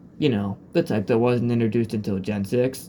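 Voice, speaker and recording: The speaker is a man. His tone is dark and mellow. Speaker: gaming video creator. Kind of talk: ranking commentary. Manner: halting.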